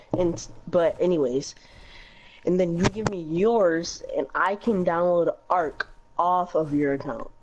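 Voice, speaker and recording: A woman with an ordinary speaking voice talks at a fairly slow pace, her fairly low pitch showing ordinary variation. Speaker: fellow gamer. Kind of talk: casual chat.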